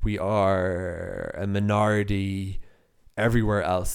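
In a very clean recording with a silent background, a man with a Cork accent talks at a fairly low pitch. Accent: Irish (Cork). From Ireland, Cork. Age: 30s. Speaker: podcaster and freelance journalist. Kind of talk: solo podcast monologue. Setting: home office.

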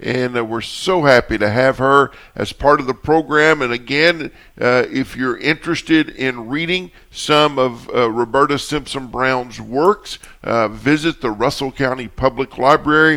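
With a Kentucky accent, a man talks at a fairly slow pace. His tone is bright and sharp, with ordinary pitch variation. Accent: Southern US (Kentucky). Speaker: radio host. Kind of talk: radio talk show.

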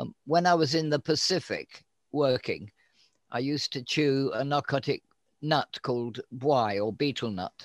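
Speaking at a fairly slow pace with an English accent, a man has a fairly high pitch in a very clean recording with a silent background and a dry, close sound with no echo. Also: ordinary pitch variation. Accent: English, noticeable. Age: 80s. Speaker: guest, cannabis grower and patient. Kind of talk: interview, casual chat, storytelling.

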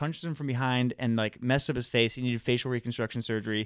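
With an ordinary speaking voice, a man talks at medium pitch and fairly even intonation in a dry, close sound with no echo. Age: 20s. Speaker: podcast co-host. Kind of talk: casual chat. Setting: studio.

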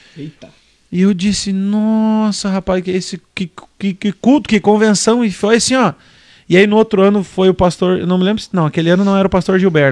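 A man with a high pitch speaks with fairly even intonation at a moderate pace on a very clean recording with a silent background. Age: 20s. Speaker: podcast host. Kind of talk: casual chat.

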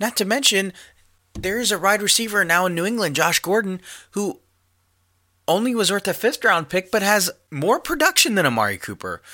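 In a very clean recording with a silent background, a man with a high pitch uses a raised, projected voice and a bright, sharp tone, speaking at a fairly quick pace with ordinary pitch variation and long, frequent pauses. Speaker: podcast host. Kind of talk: angry sports rant. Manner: angry, ranting, profane; animated, opinionated.

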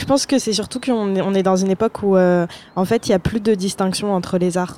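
A woman with a dark, mellow tone and medium pitch speaks at a fairly quick pace with fairly even intonation. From Paris suburbs, Seine-Saint-Denis. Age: 20s. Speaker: student, blogger and podcaster. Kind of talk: casual interview chat.

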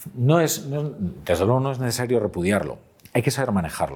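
On a very clean recording with a silent background, a man at a medium pitch talks at a fairly quick pace with vocal fry and very wide pitch swings. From Galicia, Pontevedra. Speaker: journalist and columnist. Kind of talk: interview conversation.

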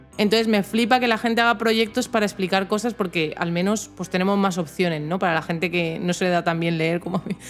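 With music in the background, a woman talks at a very fast pace with hardly any pauses, her medium pitch showing ordinary variation. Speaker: tech podcast co-host. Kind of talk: casual chat.

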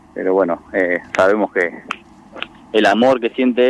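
Over noticeable background noise, a man with a fairly low voice and fairly even intonation comes across dry and close with no echo. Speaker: sports club president. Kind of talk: radio interview.

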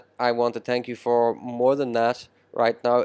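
A man with an Irish accent speaks at a moderate pace, the sound dry and close with no echo. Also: very clean recording, silent background. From Ireland. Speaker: podcast host. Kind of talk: interview. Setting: restaurant.

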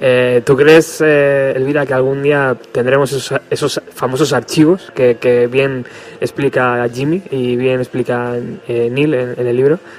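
This man's medium pitch holds fairly even intonation, with noticeable noise in the background. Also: fairly slow pace. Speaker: radio host. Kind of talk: radio show with interviews.

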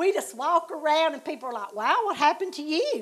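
In a Southern US accent, a woman speaks with a high pitch and very wide pitch swings. Her pace is moderate. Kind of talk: devotional heart-to-heart chat.

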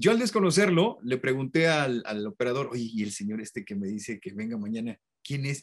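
This man has a plain, everyday voice at a medium pitch and a fairly quick pace. The recording is very clean, with a silent background. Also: hardly any pauses. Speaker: voice actor and commercial announcer. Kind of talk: interview.

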